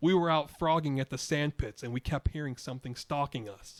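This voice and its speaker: In a put-on character voice, someone speaks loud and shaky at a fairly quick pace, with a dry, close sound and no echo. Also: man, fairly high pitch for a man. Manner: fake frightened, pranking.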